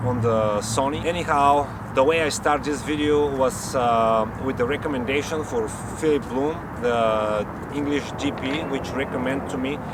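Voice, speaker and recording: A man with a strong non-native accent speaks at a moderate pace in a medium pitch with fairly even intonation, with audible room echo and noticeable background noise. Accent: strong foreign. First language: not English. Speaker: YouTuber, amateur camera reviewer. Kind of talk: casual vlog review. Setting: about three meters from camera mic.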